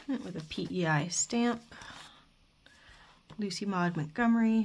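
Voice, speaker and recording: Somewhat breathy, the voice moves at a fairly slow pace with ordinary pitch variation. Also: woman, medium pitch for a woman. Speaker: crafter / YouTuber. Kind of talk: casual show-and-tell flip-through. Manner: halting, with fillers and mumbling.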